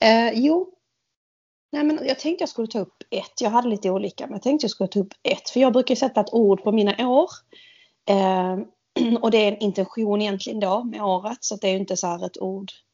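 Speaking at a fairly quick pace, a woman has a plain, everyday voice. Her pitch variation is ordinary. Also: fairly high pitch for a woman. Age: 40s. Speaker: podcast co-host. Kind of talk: casual chat.

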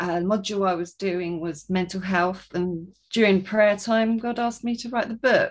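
A woman speaks with a southern English accent at a medium pitch and a moderate pace. She has hardly any pauses and fairly even intonation. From southern England. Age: 30s. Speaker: author and coach. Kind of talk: casual interview, testimony.

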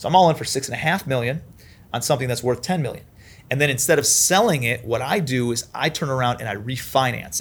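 Very fast speech from a man with an American accent, at a medium pitch with ordinary pitch variation, somewhat breathy, on a very clean recording with a silent background. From Ohio, Cleveland. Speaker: commercial real estate investor. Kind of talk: interview.

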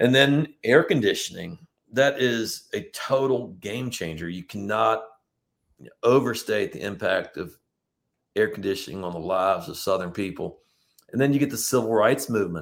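A man with an American accent and a normal speaking voice talks at a moderate pace. His medium pitch carries lively intonation and big swings in loudness. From Virginia, Richmond area (eastern Hanover County). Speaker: tour guide. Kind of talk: casual interview.

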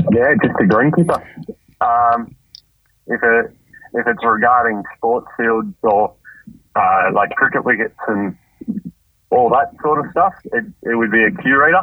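A man with an Australian accent speaks at a fairly slow pace and medium pitch. His intonation is lively, and he takes long, frequent pauses. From Australia, Campbelltown NSW. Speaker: greenkeeper. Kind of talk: casual interview. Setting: phone call.

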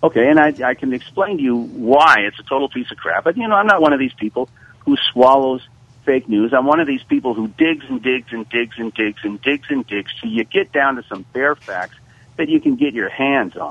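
Using a plain, everyday voice, a man at medium pitch talks at a fairly quick pace with lively intonation. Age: 60s. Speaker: history teacher. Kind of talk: radio discussion.

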